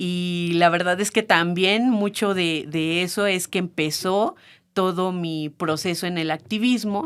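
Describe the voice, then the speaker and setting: The woman's pitch is fairly low. She speaks at a very slow pace. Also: fairly even intonation, very clean recording, silent background. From Mexico, San Luis Potosí. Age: 30s. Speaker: feminist activist, childcare worker. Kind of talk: podcast interview. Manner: hesitant, many fillers.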